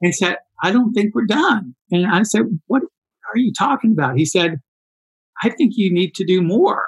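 Moderate pace, lively intonation, and a slightly husky edge. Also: man, high pitch for a man.

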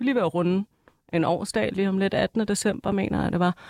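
An unremarkable speaking voice from a woman, medium pitch, fairly even intonation, fairly quick pace, dry and close with no echo. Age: 20s. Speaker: nursing student, former nightclub bartender. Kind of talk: casual chat.

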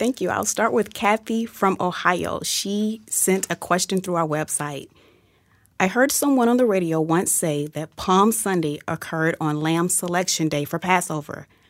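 A woman with an ordinary speaking voice and a fairly low pitch talks at a moderate pace with lively intonation on a very clean recording with a silent background. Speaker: radio producer. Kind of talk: reading listener questions aloud. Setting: studio.

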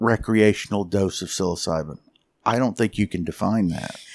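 The very clean recording, with a silent background, captures a man with a plain, everyday voice, a fairly low pitch and ordinary pitch variation. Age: 60s. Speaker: geophysicist. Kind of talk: interview. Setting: in Jamaica.

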